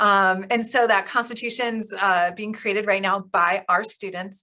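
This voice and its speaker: A woman speaks at a medium pitch in a bright, sharp, enthusiastic tone. The recording is very clean, with a silent background. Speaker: school principal. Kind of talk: school meeting update. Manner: fast.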